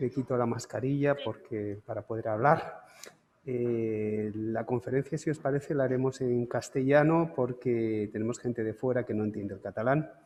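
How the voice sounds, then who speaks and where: Noticeable background noise accompanies a man speaking at a moderate pace and medium pitch with ordinary pitch variation. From Canary Islands, Santa Cruz de Tenerife. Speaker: lecturer, photographer. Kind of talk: lecture.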